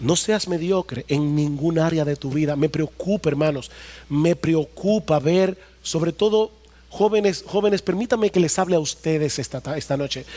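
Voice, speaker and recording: With a dark, mellow tone and ordinary pitch variation, a man speaks at a moderate pace. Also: fairly high pitch for a man. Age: 50s. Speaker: pastor. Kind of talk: sermon. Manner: animated.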